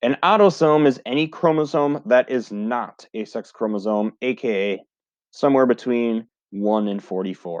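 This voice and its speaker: A man talks at a fairly slow pace in a normal speaking voice with lively intonation, recorded with a dry, close sound, no echo and a quiet background. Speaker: high school biology teacher. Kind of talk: recorded lecture video.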